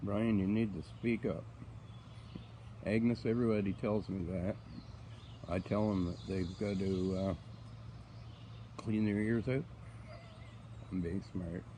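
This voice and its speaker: A soft-spoken man with a very deep, low pitch and a dark, mellow tone, lively intonation, a fairly slow pace and long, frequent pauses. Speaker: farmer. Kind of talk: casual live-stream chat. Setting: outdoors on a farm. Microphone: too quiet, viewer asks him to speak up.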